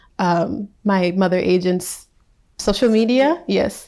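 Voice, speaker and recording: A woman with an American accent at a fairly slow pace, on a very clean recording with a silent background. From US Midwest, Minnesota. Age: 20s. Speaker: fashion model. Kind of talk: interview. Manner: hesitant, many fillers.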